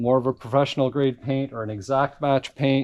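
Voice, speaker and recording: Over a quiet background, a man with an unremarkable speaking voice and a fairly high pitch talks at a moderate pace. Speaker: car restoration YouTuber. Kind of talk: tutorial. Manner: casual.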